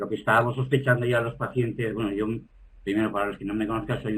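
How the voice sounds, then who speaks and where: A man's fairly low voice, an ordinary speaking voice with fairly even intonation. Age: 60s. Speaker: patient advocate living with HIV. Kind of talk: webinar panel discussion.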